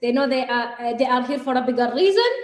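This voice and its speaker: Audible room echo surrounds a woman speaking at a fairly quick pace in a high voice. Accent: Arabic. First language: Arabic. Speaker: life and business coach, co-host. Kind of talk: live show chat. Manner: animated.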